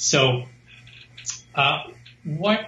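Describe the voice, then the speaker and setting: Noticeable background noise behind a man whose pitch varies in an ordinary way. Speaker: guest explaining desire utilitarianism. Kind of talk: explaining a philosophical view. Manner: halting, hesitant.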